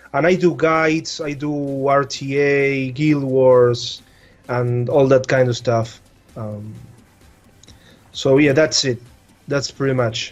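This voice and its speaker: Over music in the background, a man with a Spanish accent speaks very slowly with long, frequent pauses, fairly even intonation, and a fairly high pitch. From Argentina. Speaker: gaming content creator. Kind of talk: casual chat. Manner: halting, repeats words.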